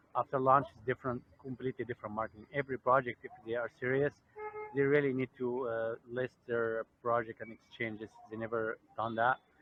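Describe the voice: Recorded with a dry, close sound and no echo, a man at a medium pitch talks at a fairly quick pace with little pitch movement.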